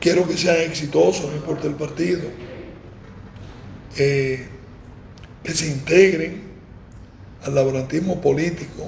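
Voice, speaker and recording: Amid noticeable background noise and audible room echo, a man with a fairly high pitch speaks at a fairly slow pace and fairly even intonation, leaving long, frequent pauses. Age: 60s. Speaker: former mayor. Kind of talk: interview.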